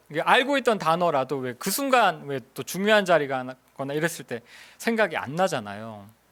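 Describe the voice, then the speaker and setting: A man speaks with a high-pitched voice. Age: 50s. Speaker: missionary preacher. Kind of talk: sermon. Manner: hesitant, with fillers.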